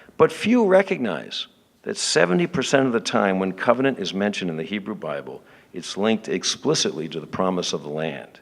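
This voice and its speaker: Marked by vocal fry, the voice moves at a fairly quick pace with very wide pitch swings. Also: man. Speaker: theologian speaker. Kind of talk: conference lecture. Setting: conference with audience. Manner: formal.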